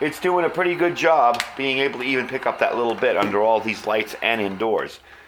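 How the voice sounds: A man speaks at a fairly quick pace in a medium pitch, with ordinary pitch variation and audible room echo. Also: fairly bright tone.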